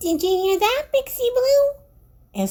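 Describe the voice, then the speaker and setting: An extremely high, squeaky put-on character voice. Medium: read story.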